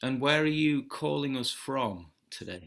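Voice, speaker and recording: A man with an ordinary speaking voice, at a fairly slow pace and with ordinary pitch variation. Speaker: podcast host. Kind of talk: podcast conversation.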